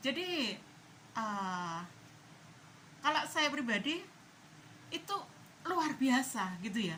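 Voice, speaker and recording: A woman with a high, bright, sharp voice projects it loudly at a very slow pace, her pitch swinging very widely. Long, frequent pauses break her speech, and audible room echo surrounds it. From East Java, Indonesia. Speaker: political commentary vlogger. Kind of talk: casual opinion monologue.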